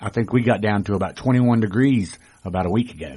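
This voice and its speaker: A man talks at a fairly quick pace, his fairly low pitch showing ordinary pitch variation. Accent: North Carolina. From rural North Carolina. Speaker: formerly homeless guest. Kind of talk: radio interview. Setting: radio studio.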